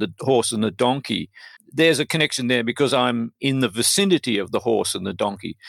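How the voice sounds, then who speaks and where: In an Australian accent, a man of medium pitch speaks with lively intonation in a dry, close sound with no echo. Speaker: poet. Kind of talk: interview.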